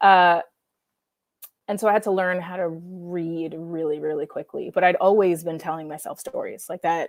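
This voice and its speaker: The speaker has an American accent and a monotone, flat intonation. Loudness swings widely at a moderate pace. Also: woman, fairly low pitch for a woman. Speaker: comic book writer. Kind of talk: interview.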